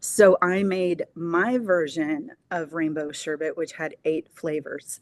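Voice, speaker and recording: A woman with a fairly low pitch talks very slowly, her pitch varying in an ordinary way. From Southern California. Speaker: small business owner. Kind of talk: interview.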